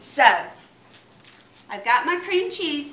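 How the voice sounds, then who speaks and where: A woman with a slight Southern US accent speaks in an extremely high, raised, projected voice. Her intonation is lively, and the room echo is audible. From North Carolina. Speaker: home cook, contest entrant. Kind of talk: cooking demonstration. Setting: home kitchen. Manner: animated.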